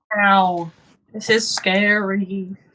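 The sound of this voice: A female-sounding, put-on character voice at a medium pitch with monotone, flat intonation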